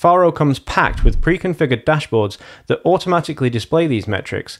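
A man at a very fast pace against a quiet background. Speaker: presenter. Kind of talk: tutorial. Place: home room. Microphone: studio mic.

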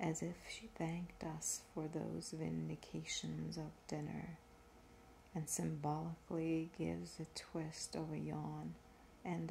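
A soft-spoken woman at a very slow pace over light background noise. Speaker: reader. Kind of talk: reading aloud from a book. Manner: soft-spoken, hushed ASMR reading voice. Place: home room. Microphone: phone near.

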